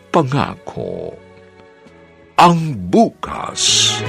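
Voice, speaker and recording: A man's voice swings very widely in pitch. Behind him, there is music in the background. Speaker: radio announcer. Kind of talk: radio drama announcer.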